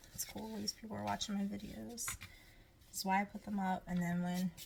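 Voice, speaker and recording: A woman talks at a moderate pace with a medium pitch. Her voice is somewhat breathy. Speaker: home cooking vlogger. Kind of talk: cooking tutorial. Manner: animated; whispering briefly.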